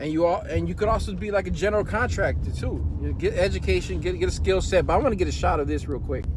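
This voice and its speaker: A man talking at a very fast pace with hardly any pauses, amid audible room echo and noticeable background noise. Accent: American. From US Midwest, Chicago. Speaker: podcast host. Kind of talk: casual chat. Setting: in a car. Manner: animated.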